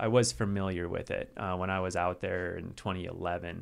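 Using an unremarkable speaking voice, a man with an American accent talks at a fairly quick pace with fairly even intonation. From US South, western North Carolina. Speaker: adaptive mountain athlete. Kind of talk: casual interview chat. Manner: casual, filler-heavy.

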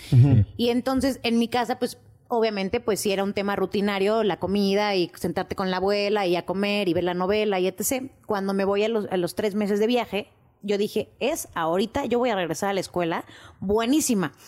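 A woman with an ordinary speaking voice talks fairly quickly at medium pitch. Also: ordinary pitch variation. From Mexico City. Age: 20s. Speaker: podcast production staff. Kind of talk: casual chat. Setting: studio.

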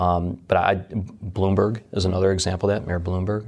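In a Midwestern American accent, a man speaks at a very deep, low pitch with monotone, flat intonation. His pace is moderate, and the recording is very clean with a silent background. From US Midwest, Detroit. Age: 40s. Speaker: fintech executive, former submariner. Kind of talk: interview.

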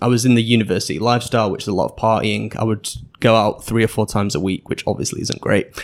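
A man with a Manchester accent speaks very fast at a fairly low pitch. His intonation stays fairly even, with vocal fry. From England, Manchester. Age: 20s. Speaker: podcaster and English teacher. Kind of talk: interview conversation. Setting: in-person studio interview.

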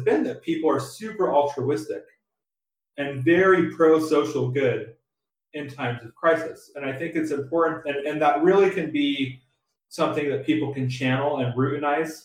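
Somewhat breathy and fairly high in pitch, a man talks with an American accent at a moderate pace and ordinary pitch variation. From San Diego, California. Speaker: assistant professor, researcher. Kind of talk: interview. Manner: halting, many repetitions.

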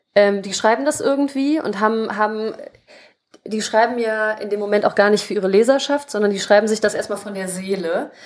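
With ordinary pitch variation, a woman speaks at a fairly quick pace in a fairly high pitch. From Germany, Krefeld (Lower Rhine). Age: 20s. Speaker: writer and editor. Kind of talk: casual interview.

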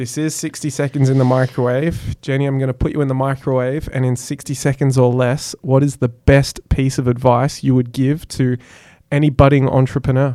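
Speaking with an Australian accent, a man uses a dark, mellow tone at a medium pitch and a fairly quick pace. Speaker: podcast host. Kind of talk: interview. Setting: studio. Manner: animated.

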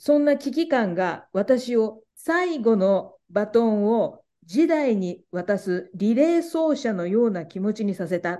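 A woman talks at a very slow pace with hardly any pauses. Her dark, mellow tone moves through very wide pitch swings. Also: fairly high pitch for a woman. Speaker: podcast moderator. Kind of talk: interview with scripted narration. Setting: video call.

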